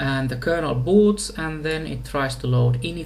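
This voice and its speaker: With a Finnish accent, the speaker goes at a very slow pace amid noticeable background noise. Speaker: software engineer. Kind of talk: tutorial. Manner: halting.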